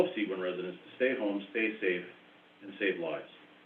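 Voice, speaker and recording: The man here talks at a fairly quick pace. Audible room echo surrounds his voice. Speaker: township chief administrator. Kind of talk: budget presentation at council meeting. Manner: hesitant with many fillers.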